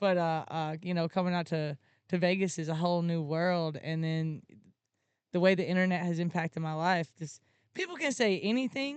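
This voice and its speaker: A woman speaks in a southern Alabama accent. Her pitch is fairly low, with ordinary pitch variation. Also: moderate pace. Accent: Southern Alabama accent, fairly strong. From Alabama, US South. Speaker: content creator and live streamer. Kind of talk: podcast interview.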